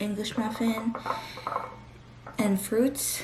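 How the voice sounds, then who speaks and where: A woman speaking very slowly, with audible room echo and noticeable background noise. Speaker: lifestyle vlogger. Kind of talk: casual vlog narration.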